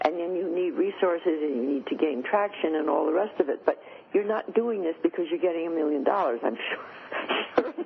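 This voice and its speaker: Woman's fairly low voice with ordinary pitch variation at a moderate pace, over noticeable background noise. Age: 80s+. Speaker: futurist and author. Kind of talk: interview.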